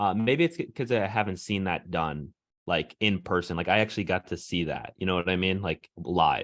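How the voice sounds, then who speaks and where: A man's very deep, low voice at a moderate pace against a quiet background. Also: ordinary pitch variation. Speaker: podcast host. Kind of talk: casual chat. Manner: loud.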